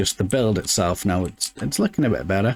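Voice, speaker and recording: A man with a British accent and lively intonation, on a very clean recording with a silent background. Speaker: gaming let's play creator. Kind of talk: casual gameplay commentary. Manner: many filler words and stammers.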